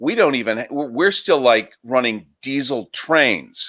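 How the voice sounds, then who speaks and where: A man at a medium pitch and a very slow pace, on a very clean recording with a silent background. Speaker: talk show guest. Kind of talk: political commentary in a live discussion.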